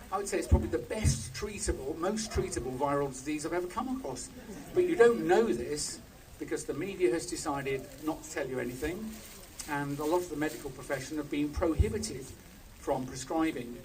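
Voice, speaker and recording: Audible room echo and noticeable background noise surround a man speaking at a fairly quick pace. His voice is fairly high-pitched, with lively intonation. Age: 60s. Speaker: doctor, former pharmaceutical scientist. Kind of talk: protest speech. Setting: outdoor protest with crowd.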